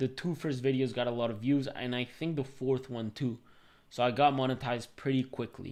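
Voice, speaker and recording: Speaking at a fairly quick pace, a man delivers his words in a flat monotone. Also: medium pitch for a man. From Venezuela. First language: Spanish. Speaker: tech YouTuber and software developer. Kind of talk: live stream Q&A with chat. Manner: casual, filler-heavy. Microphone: new mic.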